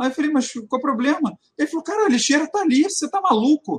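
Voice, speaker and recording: A man talking at a fairly quick pace. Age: 40s. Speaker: retail consultant. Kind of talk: casual chat.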